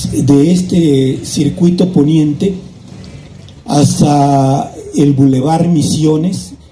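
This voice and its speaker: The voice shows ordinary pitch variation, and the room echo is audible. There is noticeable background noise. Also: man. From Mexico, Naucalpan (State of Mexico, Mexico City area). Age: 70s. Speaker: local chronicler. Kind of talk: historical talk to an audience. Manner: conversational, with false starts.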